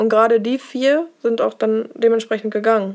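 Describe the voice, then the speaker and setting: This woman has an unremarkable speaking voice and a fairly high pitch. Her pace is fairly quick, with fairly even intonation. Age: 20s. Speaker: nurse. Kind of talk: casual interview. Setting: office.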